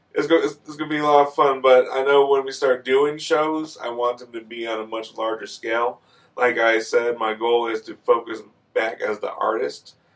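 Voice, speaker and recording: With an ordinary speaking voice at medium pitch, a man keeps a moderate pace and fairly even intonation while his loudness swings widely. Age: 30s. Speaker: hip hop artist and satellite radio show host. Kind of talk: casual interview. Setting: studio.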